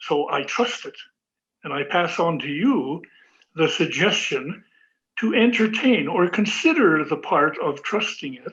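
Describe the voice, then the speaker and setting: A man with a high pitch speaks at a fairly slow pace, his intonation lively. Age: 80s+. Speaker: elder and kayak builder. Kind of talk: interview on a video call. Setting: video call. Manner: reflective, halting.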